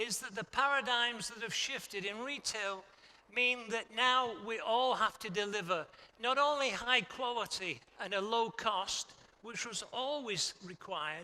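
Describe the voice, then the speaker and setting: A man's raised, projected voice at an extremely high pitch, with ordinary pitch variation and a fairly slow pace. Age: 70s. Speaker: textile industry expert. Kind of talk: conference talk.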